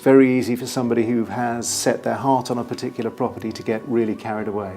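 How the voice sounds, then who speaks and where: Music plays in the background as a man speaks with a British accent. His pitch is medium and his pace fairly quick. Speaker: property auctioneer. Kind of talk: explanatory advice to camera. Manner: clear, measured, authoritative.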